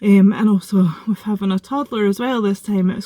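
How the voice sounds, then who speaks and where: With a Scottish accent, a woman speaks at a medium pitch. Her tone is dark and mellow and somewhat breathy. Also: dry, close sound with no echo. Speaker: vlogger. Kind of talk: casual vlog update. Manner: fast; excited.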